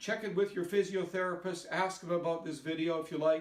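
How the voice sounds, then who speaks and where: Fairly even in intonation, a man speaks with a high pitch. He has a Canadian accent. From Canada. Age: 60s. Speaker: hip replacement patient sharing exercises. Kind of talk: exercise tutorial. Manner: casual, conversational.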